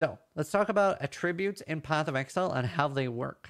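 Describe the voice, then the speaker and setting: On a very clean recording with a silent background, a man with a plain, everyday voice talks at a moderate pace in a fairly high pitch with lively intonation. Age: 30s. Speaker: gaming streamer and tutorial host. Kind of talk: tutorial. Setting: livestream or recorded screen video.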